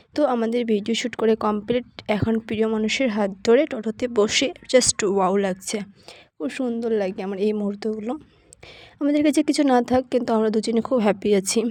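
This is a woman speaking. Her pitch sits fairly high and varies in an ordinary way. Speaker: vlogger. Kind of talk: casual vlog narration. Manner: halting.

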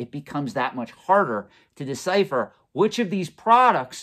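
The setting is quiet. A man talks. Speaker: collectibles finance channel host. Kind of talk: commentary. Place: office.

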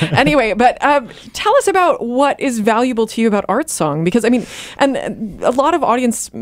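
Talking at a fairly quick pace, a woman uses a high pitch with very wide pitch swings. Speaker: radio host. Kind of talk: radio interview questions. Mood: warm, curious. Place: studio. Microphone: studio mic.

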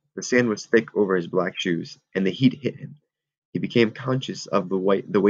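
Against a quiet background, an unforced reading voice moves with ordinary pitch variation.

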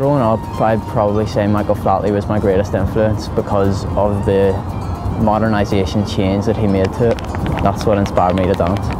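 Over clear music in the background, a man speaks at a fairly quick pace. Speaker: Irish dancer. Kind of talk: interview answer. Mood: relaxed, enthusiastic. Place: street.

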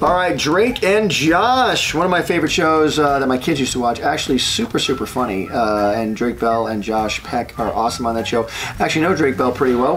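A man speaking at a moderate pace over faint music in the background. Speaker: cartoonist host. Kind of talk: casual vlog chat. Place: studio.

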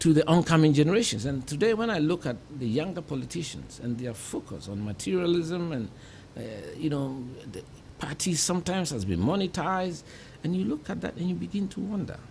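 Amid light background noise, a man with a fairly high pitch speaks at a fairly quick pace with very wide pitch swings. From Ghana, Kumasi; Ghana. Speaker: politician and civil engineer; politician. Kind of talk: interview. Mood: reflective, earnest. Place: studio. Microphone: studio mic.

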